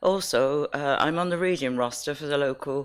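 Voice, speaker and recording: On a very clean recording with a silent background, a woman speaks at a moderate pace with a very deep, low pitch and ordinary pitch variation. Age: 80s+. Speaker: resident objector. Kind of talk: testimony. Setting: council licensing hearing.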